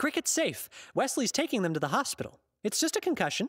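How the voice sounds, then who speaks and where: Delivered at a very fast pace, this put-on character voice sits at a high pitch and swings very widely up and down. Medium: audio drama. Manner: soft, soothing.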